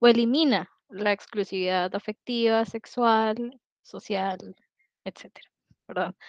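Over a quiet background, a woman with a fairly high voice talks very slowly with ordinary pitch variation, the sound dry and close with no echo. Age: 30s. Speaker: polyamory community organizer. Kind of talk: podcast interview.

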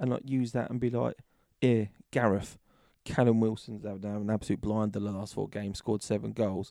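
A man with a British accent talks at a fairly quick pace. His dark, mellow voice sits fairly low, with fairly even intonation. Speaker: football podcast host. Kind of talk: casual banter. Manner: chatty, joking.

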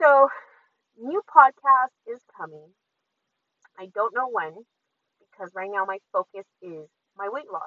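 With a dry, close sound and no echo, a woman speaks at a high pitch in a bright, sharp tone. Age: 30s. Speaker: podcast host. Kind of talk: casual monologue. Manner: casual, with filler words.

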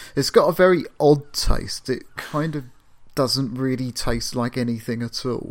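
Speech unfolds rather slowly. The background is silent and the recording very clean. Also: man. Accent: southern English. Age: 40s. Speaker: podcast co-host. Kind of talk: casual chat.

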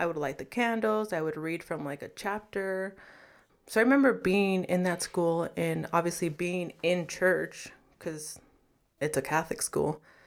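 A woman with an American accent and an ordinary speaking voice, fairly low in pitch with ordinary variation, at a fairly slow pace, on a very clean recording with a silent background. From Los Angeles, California. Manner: casual, filler-heavy, laughs.

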